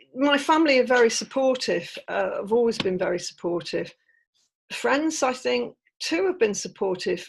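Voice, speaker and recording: With an English accent, a woman speaks at a high pitch using very wide pitch swings. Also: moderate pace. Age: 60s. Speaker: author. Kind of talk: interview. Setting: podcast interview.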